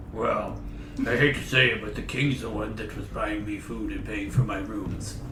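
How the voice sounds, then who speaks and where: Through loud background noise, a man performs a put-on character voice at a moderate pace. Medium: actual play. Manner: dry, deadpan.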